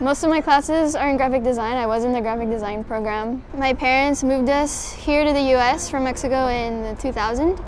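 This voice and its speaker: With hardly any pauses, a woman talks at a fairly quick pace in a high voice with fairly even intonation, the sound dry with no echo and light background noise behind her. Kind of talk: interview answer. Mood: calm, reflective. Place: cafe. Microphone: lapel.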